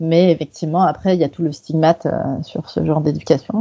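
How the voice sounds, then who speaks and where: A woman's tone is dark and mellow. She keeps a moderate pace. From Quebec, Canada. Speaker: sex worker activist. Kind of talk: podcast interview. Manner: halting, many fillers.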